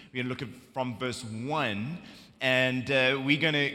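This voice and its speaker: With a bright, sharp tone, a man talks at a fairly quick pace, his medium pitch showing ordinary variation. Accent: South African. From South Africa. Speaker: preacher. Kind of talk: sermon. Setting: church.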